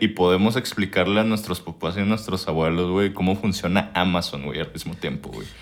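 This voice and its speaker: A man with a Mexican accent over noticeable background noise. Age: 20s. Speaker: podcast host. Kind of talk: casual chat.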